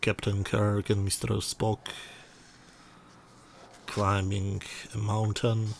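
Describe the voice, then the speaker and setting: Somewhat breathy, a man speaks in a monotone, flat intonation with long, frequent pauses. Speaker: product reviewer. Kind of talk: product review narration.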